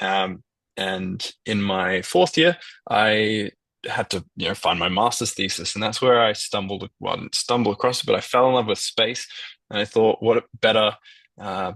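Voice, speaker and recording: Man with an Australian accent and ordinary pitch variation. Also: fairly low pitch for a man, moderate pace, dry, close sound with no echo. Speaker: data portal programmer. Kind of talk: presentation on a video call. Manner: hesitant, many fillers.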